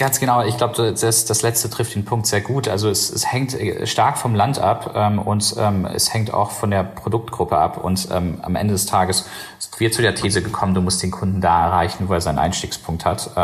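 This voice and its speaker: Noticeable background noise accompanies a man with a fairly low pitch. His pitch varies in an ordinary way. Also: moderate pace. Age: 30s. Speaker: company founder and CEO. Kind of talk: interview. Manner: halting, many fillers.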